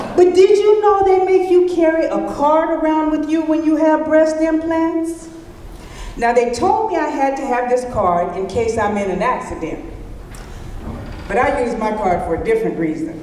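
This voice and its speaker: Her high voice has an animated tone and very wide pitch swings at a moderate pace. The woman is heard with audible room echo and noticeable background noise. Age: 60s. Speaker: stand-up comedian. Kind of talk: stand-up. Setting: stage with audience.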